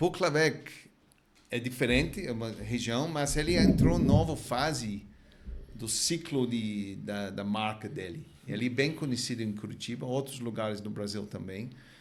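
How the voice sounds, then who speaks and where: With a non-native accent, a man talks at a moderate pace at medium pitch with ordinary pitch variation. There is audible room echo and noticeable background noise. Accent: foreign accent in Portuguese. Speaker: wine importer. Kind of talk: podcast interview.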